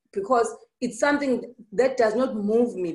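In a quiet background, a woman with a high pitch talks at a moderate pace. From South Africa, KwaZulu-Natal. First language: Zulu. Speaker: entrepreneur. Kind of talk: interview. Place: office. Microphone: video call.

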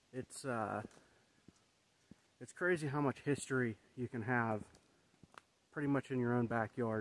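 A man at a moderate pace, ordinary pitch variation, dry sound with no echo. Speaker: vlogger. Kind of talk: casual vlog chat. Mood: reflective, thoughtful. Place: forest. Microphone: phone near.

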